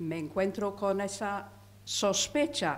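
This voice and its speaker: A woman with a non-native accent speaks at a very slow pace, with vocal fry and lively intonation. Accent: foreign accent in Spanish. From England. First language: English (speaking Spanish). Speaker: audience member. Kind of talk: audience question.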